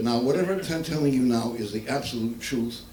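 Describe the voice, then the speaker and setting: A man with an American accent, ordinary pitch variation, noticeable background noise and audible room echo. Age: 80s+. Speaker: comedian. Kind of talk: stand-up. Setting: stage with audience.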